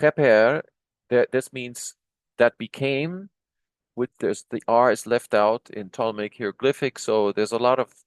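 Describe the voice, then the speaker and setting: A man at a fairly slow pace, with ordinary pitch variation, a dry, close sound with no echo, and a quiet background. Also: medium pitch for a man. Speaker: Egyptology video lecturer translating hieroglyphic texts. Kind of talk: lecture. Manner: slow, deliberate; halting, many fillers and restarts.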